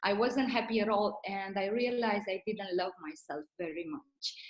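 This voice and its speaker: With ordinary pitch variation, a woman's medium-pitched voice proceeds at a moderate speed. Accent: Romanian. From Romania. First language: Romanian. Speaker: network marketing leader. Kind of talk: motivational talk.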